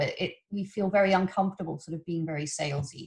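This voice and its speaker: A somewhat breathy woman with an English accent at a very fast pace. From England. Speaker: webinar host. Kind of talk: webinar introduction. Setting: video call.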